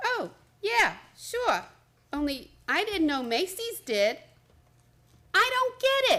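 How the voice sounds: Slowly, a woman performs a put-on character voice that is extremely high and fairly bright, with very wide pitch swings.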